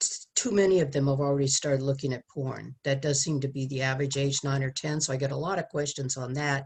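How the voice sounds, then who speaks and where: Very fast and with hardly any pauses, a woman talks in a very deep, low, somewhat breathy voice with fairly even intonation. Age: 70s. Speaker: sex education speaker. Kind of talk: testimony.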